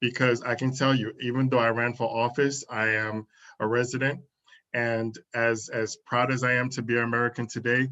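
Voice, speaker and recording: A man speaks at a moderate pace and medium pitch, with a bright, sharp tone. His intonation is monotone and flat, and his loudness stays very even. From Dominican Republic. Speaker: interviewer, community network founder. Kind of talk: interview.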